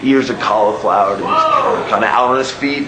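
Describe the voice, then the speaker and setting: Over noticeable background noise, a man speaks at a moderate pace. His intonation stays fairly even. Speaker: professional wrestler. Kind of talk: wrestling promo.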